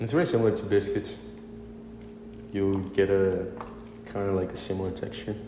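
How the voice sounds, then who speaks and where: A man with a fairly low pitch and ordinary pitch variation speaks at a fairly quick pace, leaving long, frequent pauses. Noticeable background noise and audible room echo fill the recording. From Venezuela. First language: Spanish. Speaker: cooking demonstrator. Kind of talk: tutorial. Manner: halting.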